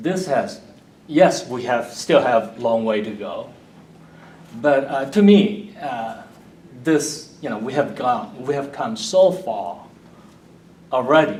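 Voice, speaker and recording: Over noticeable background noise and audible room echo, a man with a Korean accent speaks at a very slow pace with a fairly high pitch, lively intonation and long, frequent pauses. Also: big swings in loudness. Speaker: Bible teacher. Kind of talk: audience comment.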